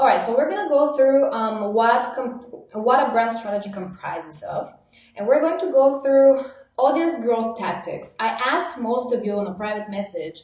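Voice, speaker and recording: A woman speaks in a high voice with lively intonation, and the room echo is audible. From Bulgaria. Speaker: online marketing coach. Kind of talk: live webinar training. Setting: livestream. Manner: fast; animated.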